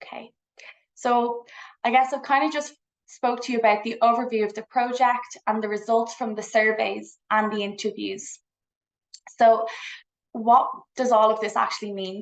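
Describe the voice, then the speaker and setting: A woman with an Irish accent, fairly high pitch and fairly even intonation, plus long, frequent pauses and big swings in loudness. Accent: Irish, noticeable. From Ireland, Dublin. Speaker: psychology researcher. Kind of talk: conference presentation. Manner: fast.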